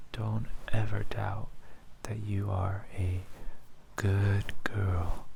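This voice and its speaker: A soft-spoken voice with a soothing tone moves at a very slow pace with long, frequent pauses, over noticeable background noise. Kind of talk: ASMR affirmation role-play, soft-spoken petting talk. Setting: studio. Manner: soft-spoken, soothing.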